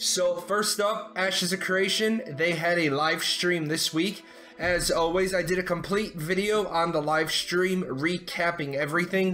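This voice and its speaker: Music plays in the background as a man speaks at a moderate pace and a high pitch, with very even loudness, ordinary pitch variation and hardly any pauses. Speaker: gaming news youtuber. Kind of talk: news roundup. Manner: casual, conversational.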